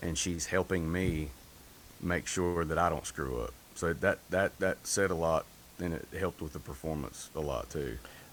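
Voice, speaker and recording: A man's very deep, low voice with vocal fry and a Southern US accent at a moderate pace. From North Carolina. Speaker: singer. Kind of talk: interview. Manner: monotone.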